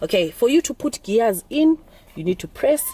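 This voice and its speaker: Fairly high pitch from a woman, an animated tone, very wide pitch swings and a moderate pace. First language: Zulu or Xhosa (Nguni language). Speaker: driving instructor vlogger. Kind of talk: tutorial. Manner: halting.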